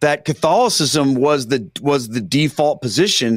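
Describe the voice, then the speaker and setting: A man speaks at a fairly high pitch, and the sound is dry and close with no echo. The recording is very clean, with a silent background. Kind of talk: casual interview. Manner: plain, down-to-earth speaking.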